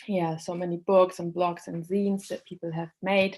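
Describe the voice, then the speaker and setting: Her fairly low voice as a woman stays in a monotone, flat intonation. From Germany, born in Poland. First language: Polish or German. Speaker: accessibility trainer and speaker. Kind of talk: online lecture. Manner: halting, many fillers.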